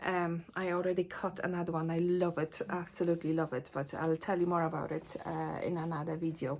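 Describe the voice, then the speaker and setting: Monotone and flat, a woman with a non-native accent speaks at a fairly low pitch on a very clean recording with a silent background. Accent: noticeable foreign. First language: not English. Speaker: sewing teacher and vlogger. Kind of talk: casual vlog chat. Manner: hesitant, many fillers.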